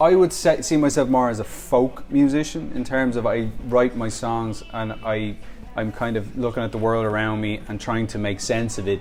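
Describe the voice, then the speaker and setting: A man with a Dublin accent at a moderate pace, music playing in the background. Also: medium pitch for a man, ordinary pitch variation. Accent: Dublin Irish. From Ireland, Dublin. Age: 30s. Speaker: musician. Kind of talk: interview. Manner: halting.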